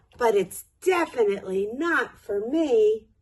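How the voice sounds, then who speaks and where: Using a put-on character voice, a woman speaks at a fairly slow pace. Her pitch is fairly high. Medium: read story.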